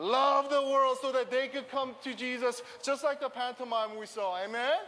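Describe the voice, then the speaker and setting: A man talks at a very slow pace with an extremely high pitch. There is noticeable background noise. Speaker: preacher. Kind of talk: fervent prayer. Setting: stage with audience. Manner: earnest, passionate.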